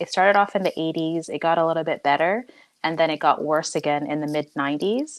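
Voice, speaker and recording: A woman's normal speaking voice with a Canadian accent, fairly low in pitch with ordinary pitch variation. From Canada, Ottawa. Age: 30s. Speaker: interview guest. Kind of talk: casual interview.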